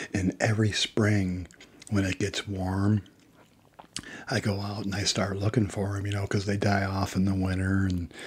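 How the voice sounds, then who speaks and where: The voice is soft-spoken and somewhat breathy, with a relaxed tone. It moves at a moderate pace with monotone, flat intonation. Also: man. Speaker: ASMR creator. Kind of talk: casual talk to camera. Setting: studio, close microphone. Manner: soft-spoken, relaxed.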